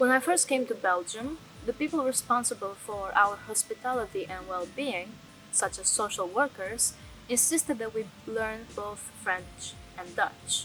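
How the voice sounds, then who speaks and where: Music plays in the background as a woman speaks at a fairly slow pace. Her pitch is fairly high and her intonation lively. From Albania. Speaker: documentary narrator. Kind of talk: scripted narration.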